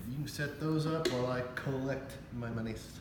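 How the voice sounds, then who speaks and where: There is noticeable background noise and audible room echo. A man speaks at a fairly slow pace. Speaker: craps channel host playing dealer. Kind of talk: casual game commentary. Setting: at home. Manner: loud, half-yelling; animated.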